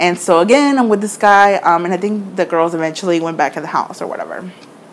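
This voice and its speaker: There is noticeable background noise. A woman talks at a fairly quick pace. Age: 20s. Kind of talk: casual storytime to camera.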